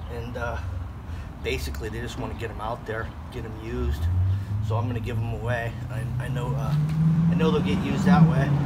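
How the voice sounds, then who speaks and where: Loud background noise fills the recording. A man talks over it at a fairly quick pace. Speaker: concrete contractor. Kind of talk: tutorial. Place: garden. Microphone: phone near.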